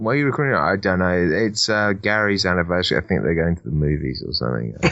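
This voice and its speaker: A man with a British accent and a very deep, low voice talks very fast, his pitch swinging very widely. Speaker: podcast co-host. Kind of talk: casual chat.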